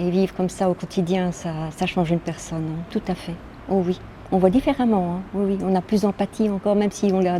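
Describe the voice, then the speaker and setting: Woman at medium pitch, fairly even intonation, fairly quick pace. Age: 60s. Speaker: social home help worker. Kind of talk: interview testimony. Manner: halting.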